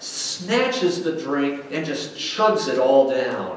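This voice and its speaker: Over light background noise and audible room echo, a man talks at a very slow pace with very wide pitch swings. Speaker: pastor. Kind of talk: sermon. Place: church.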